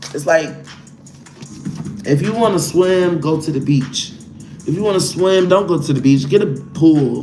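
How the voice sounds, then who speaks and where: A man with an American accent and a fairly high pitch talks at a moderate pace with ordinary pitch variation and long, frequent pauses. Music sits in the background, and room echo is audible. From Chicago, US. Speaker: tarot reader. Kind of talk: live tarot reading. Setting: livestream. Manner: animated.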